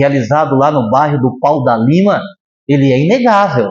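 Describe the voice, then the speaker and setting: A man's delivery is fairly slow, with ordinary variation in pitch. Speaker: spiritist lecturer. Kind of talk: lecture. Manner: animated.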